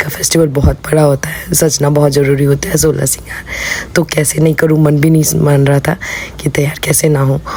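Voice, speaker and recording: Over noticeable background noise, a voice speaks at a moderate pace with monotone, flat intonation. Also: woman. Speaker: vlogger. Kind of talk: vlog voice-over. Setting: voice-over recorded at home. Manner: casual, chatty.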